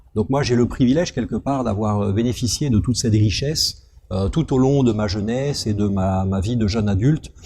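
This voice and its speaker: Talking at a fairly quick pace, a man uses a medium pitch with ordinary pitch variation and a dark, mellow, somewhat breathy tone. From France, moved often (Algeria, Gabon, northern France, Brittany). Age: 40s. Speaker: company director. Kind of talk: interview.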